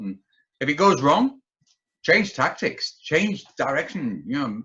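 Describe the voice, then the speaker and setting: A man's bright, sharp tone at a moderate pace, with very wide pitch swings. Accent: Yorkshire. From Yorkshire, northern England. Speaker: businessman and entrepreneur, army veteran. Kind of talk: podcast interview.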